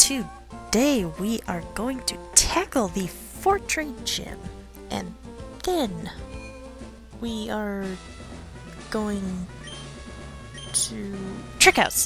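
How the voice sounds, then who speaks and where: Over music in the background, a woman speaks at a very slow pace with long, frequent pauses and big swings in loudness. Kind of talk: let's play game commentary. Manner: quiet, mumbly.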